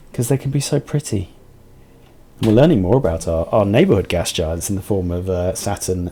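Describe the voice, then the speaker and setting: Soft-spoken, a man with a British accent talks at a moderate pace in a fairly low voice. His intonation is lively. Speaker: video game streamer. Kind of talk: live gameplay commentary.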